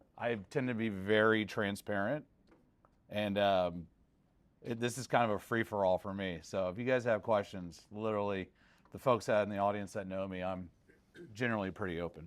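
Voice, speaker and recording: A man with an American accent talks at a moderate pace in a fairly low pitch, with long, frequent pauses. The recording is very clean, with a silent background. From Texas, Houston area. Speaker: private equity investor. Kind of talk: panel discussion. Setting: stage with audience. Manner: loud.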